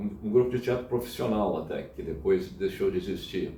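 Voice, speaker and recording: Slightly breathy and dark and mellow in tone, a man speaks with audible room echo. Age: 70s. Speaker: church member. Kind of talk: interview. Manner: halting.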